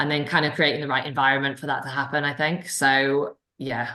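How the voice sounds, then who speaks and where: A woman with a Welsh accent speaks in a very deep, low pitch. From Wales. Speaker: sprint cycling coach. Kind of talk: Q&A session. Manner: fast.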